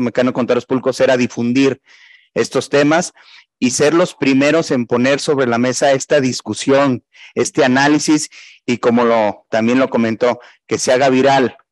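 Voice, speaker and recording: This man has an unremarkable speaking voice at a medium pitch, talking at a moderate pace with fairly even intonation in a dry, close recording with no echo. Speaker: regional president of professional accountants' body. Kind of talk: closing remarks.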